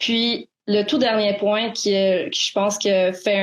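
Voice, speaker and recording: Speaking fairly slowly, a woman uses a medium pitch. Her intonation stays monotone and flat. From Quebec, Montreal. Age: 20s. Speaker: student activist. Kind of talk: interview. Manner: halting.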